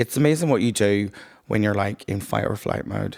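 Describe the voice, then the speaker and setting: A man with a Northern Irish accent speaks at a fairly low pitch with ordinary pitch variation. The recording is very clean, dry and close, with a silent background and no echo. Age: 30s. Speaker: podcast guest. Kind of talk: casual chat.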